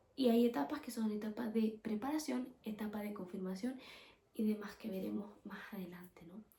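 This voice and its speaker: A woman's fairly high-pitched voice. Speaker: podcast host. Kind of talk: religious teaching podcast. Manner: fast; casual.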